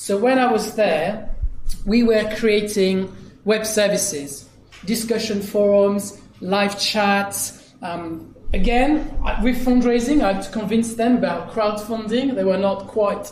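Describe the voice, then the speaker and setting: A high-pitched man at a fairly slow pace, amid audible room echo. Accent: French. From France, Dijon. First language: French. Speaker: digital consultant. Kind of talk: conference keynote. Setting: stage with audience.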